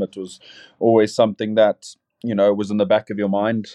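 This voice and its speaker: The speaker is a man with a fairly low pitch. He moves at a fairly quick pace. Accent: South African. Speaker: rugby player. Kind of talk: casual interview chat. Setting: video call, in team camp in Rome.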